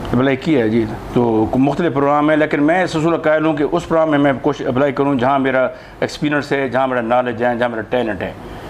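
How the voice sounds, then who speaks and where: Noticeable background noise runs under the speech. The pace is moderate and the intonation fairly even. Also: man, fairly high pitch for a man. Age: 60s. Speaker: retired doctor and social activist. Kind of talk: interview.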